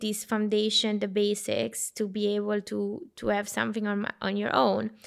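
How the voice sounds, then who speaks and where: The recording is very clean, with a silent background. A woman speaks at a fairly slow pace in an Italian accent. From Italy, small town. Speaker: consultant. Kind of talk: casual discussion.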